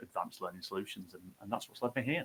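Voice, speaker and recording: Bright and sharp, a man's voice carries. He speaks with a northern English accent. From northern England, Bolton. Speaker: tech startup founder. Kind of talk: fireside chat webinar. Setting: live video stream.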